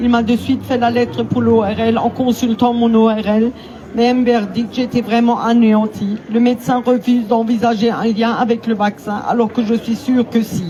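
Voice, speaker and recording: Over noticeable background noise, a woman speaks at a fairly slow pace. Her pitch is fairly high and her intonation monotone and flat. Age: 60s. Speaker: vaccine injury victim. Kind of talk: testimony. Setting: outdoor public square rally.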